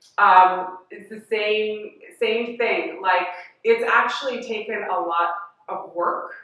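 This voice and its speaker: Heard with audible room echo, the speaker talks at a very slow pace with an American accent, fairly even intonation, and big swings in loudness. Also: woman, fairly high pitch for a woman. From Washington DC. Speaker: educator and community activist. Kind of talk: interview. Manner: slow, deliberate.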